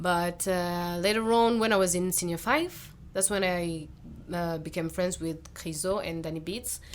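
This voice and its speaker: Audible room echo surrounds a woman's fairly low voice. She speaks at a moderate pace with fairly even intonation. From Rwanda. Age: 20s. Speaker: singer. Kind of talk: casual chat. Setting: studio.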